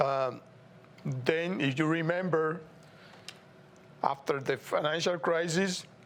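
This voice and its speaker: Speaking in a Puerto Rican accent, a man goes at a very slow pace with long, frequent pauses. His intonation is fairly even. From Puerto Rico. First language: Spanish. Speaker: TV show host. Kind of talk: political commentary monologue. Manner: halting.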